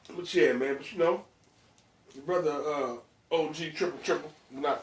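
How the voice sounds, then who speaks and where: Over noticeable background noise, a man with a fairly high-pitched voice talks at a moderate speed. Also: long, frequent pauses, big swings in loudness. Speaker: podcast host. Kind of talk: casual chat. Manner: animated.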